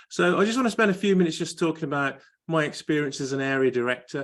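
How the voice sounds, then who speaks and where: Talking at a fairly quick pace, a man speaks with a Birmingham accent. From Birmingham, England. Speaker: area director in a public speaking club. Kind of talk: panel talk. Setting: video call.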